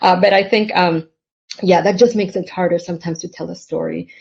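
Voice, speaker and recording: Woman's fairly low voice in a Spanish accent, with fairly even intonation and a quiet background. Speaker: novelist. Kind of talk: panel conversation. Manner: halting, many fillers.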